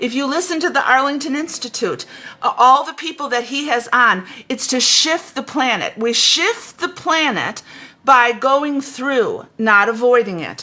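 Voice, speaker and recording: Her voice raised and projected, a woman speaks at a fairly slow pace with a high pitch, an animated tone and lively intonation. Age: 70s. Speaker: spiritual teacher. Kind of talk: spiritual talk. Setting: livestream on Facebook and YouTube. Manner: halting.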